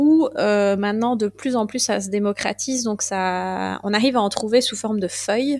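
In a very clean recording with a silent background, a woman with a plain, everyday voice speaks at a moderate pace and a fairly high pitch. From Belgium, Liège province. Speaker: Egyptologist and herbalist. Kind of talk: interview.

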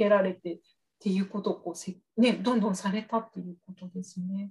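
A woman talks with a somewhat breathy voice and ordinary pitch variation. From Oita, Kyushu, Japan. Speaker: English speaking coach and podcast host. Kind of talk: interview.

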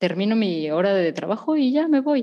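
The speaker has a dark, mellow tone and keeps a moderate pace. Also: woman. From Mexico. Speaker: podcast host, therapist. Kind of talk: casual chat.

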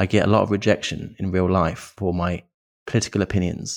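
The sound is dry and close, with no echo. A man speaks with fairly even intonation. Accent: British. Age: 30s. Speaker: men's issues content creator. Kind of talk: interview conversation. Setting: remote call.

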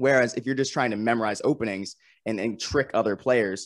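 Speaking at a fairly quick pace, this is an unremarkable speaking voice with an American accent and ordinary pitch variation. The recording is very clean and dry, close, with a silent background and no echo. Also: man. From Vermont, US. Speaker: strength and conditioning writer and editor. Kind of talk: casual interview chat, storytelling.

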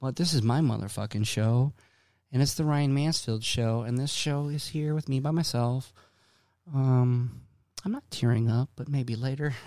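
A man with an American accent speaks at medium pitch with a dark, mellow tone. His intonation is fairly even, his pace moderate, and the recording very clean with a silent background. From Boston. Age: 40s. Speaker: podcast host. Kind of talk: casual monologue. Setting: home studio.

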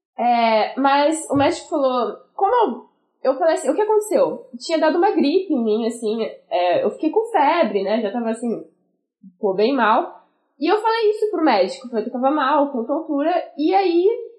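A woman talks in a high voice. Her pitch swings very widely. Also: moderate pace. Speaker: music student with type 1 diabetes. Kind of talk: casual chat.

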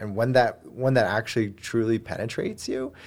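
Here is an ordinary speaking voice at a moderate pace. The recording is very clean, with a silent background. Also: man. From moved around, Germany and US. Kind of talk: casual interview.

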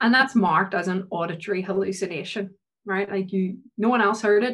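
In a Northern Irish accent, a woman with a somewhat breathy, medium-pitched voice talks at a fairly quick pace with ordinary pitch variation. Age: 20s. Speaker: PhD researcher in psychology. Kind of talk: casual interview.

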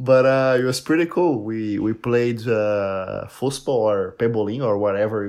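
Using ordinary pitch variation, a man talks with a Portuguese accent. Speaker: polyglot and content creator. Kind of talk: casual chat.

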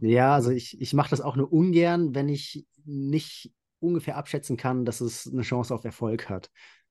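Against a quiet background, a man with a fairly high pitch and a dark, mellow tone talks at a moderate pace. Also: ordinary pitch variation. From central Hesse, Germany. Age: 30s. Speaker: nature photographer. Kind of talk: interview.

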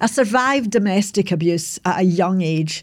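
This woman has a fairly low pitch and an ordinary speaking voice. She talks at a moderate pace. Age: 60s. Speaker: podcaster telling life story. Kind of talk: reflective monologue recap. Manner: reflective, conversational, self-deprecating.

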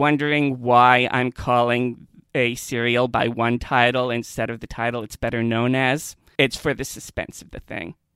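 In an ordinary speaking voice, a man talks at a fairly slow pace and medium pitch with fairly even intonation. The recording is dry and close, with no echo. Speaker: podcast host and Doctor Who expert. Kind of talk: casual podcast discussion.

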